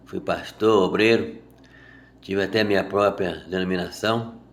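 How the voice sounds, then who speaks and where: A man's voice with audible room echo. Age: 60s. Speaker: Bible teacher. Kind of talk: sermon. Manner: informal.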